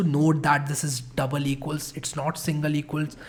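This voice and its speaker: This man's voice sounds somewhat breathy. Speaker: programming instructor. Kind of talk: tutorial.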